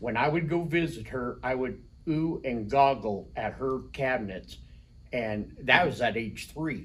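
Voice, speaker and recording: Audible room echo surrounds a man who speaks at a medium pitch and a fairly slow pace with ordinary pitch variation. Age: 60s. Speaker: rock shop owner. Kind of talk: interview.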